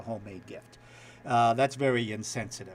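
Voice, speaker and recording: A man speaks with a New York accent. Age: old. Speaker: TV news anchor. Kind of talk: casual chat.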